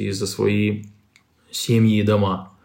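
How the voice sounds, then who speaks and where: A man with a fairly low voice speaks in a flat monotone, with room echo clearly audible. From Moldova. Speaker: investigative journalist and editor. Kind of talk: interview.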